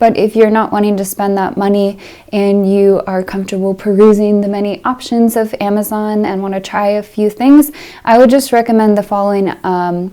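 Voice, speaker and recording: Soft-spoken, a woman talks at a moderate pace with a dark, mellow tone. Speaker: piano teacher and video creator. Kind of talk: casual Q&A update.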